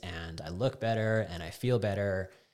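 Speaking with a Canadian accent at a fairly slow pace, a man uses a very deep, low pitch and fairly even intonation. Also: very clean recording, silent background. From Alberta, Canada (Calgary, Canmore). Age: 40s. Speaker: fitness coach. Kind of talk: casual chat.

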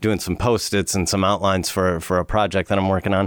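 This man talks at a very fast pace in a very deep, low voice. The recording is very clean, with a silent background. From US South, Alabama. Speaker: wellness coach. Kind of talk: casual chat.

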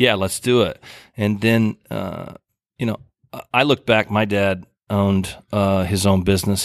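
With an American accent, a man talks at a moderate pace in an unremarkable speaking voice, fairly low in pitch with fairly even intonation, on a very clean recording with a silent background and a dry, close sound with no echo. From rural Oklahoma. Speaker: music festival founder. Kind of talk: casual interview. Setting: theater.

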